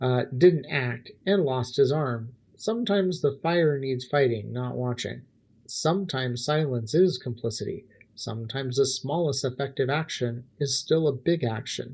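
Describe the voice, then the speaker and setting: Somewhat breathy, a man's voice sits at a medium pitch with ordinary pitch variation. He keeps a moderate pace. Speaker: philosophy livestream host. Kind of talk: philosophical monologue on a livestream.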